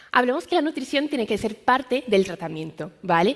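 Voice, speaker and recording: This woman's voice sits fairly high and moves at a fairly quick pace. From Brazil. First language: Portuguese (speaking Spanish). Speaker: medical science liaison. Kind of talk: conference talk.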